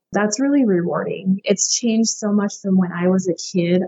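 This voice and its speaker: An American accent marks a woman's ordinary speaking voice, at a medium pitch with ordinary pitch variation and a moderate pace. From Montana, US. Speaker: rancher and writer. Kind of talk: casual interview.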